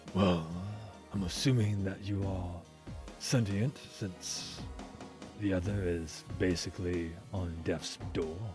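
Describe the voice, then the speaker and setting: Over clear music in the background, a man does a put-on character voice at a very deep, low pitch, speaking fairly slowly with long, frequent pauses. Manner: calm, measured, coolly polite.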